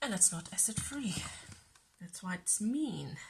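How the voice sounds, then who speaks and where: Very slowly, a soft-spoken woman says her words. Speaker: crafting youtuber. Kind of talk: tutorial.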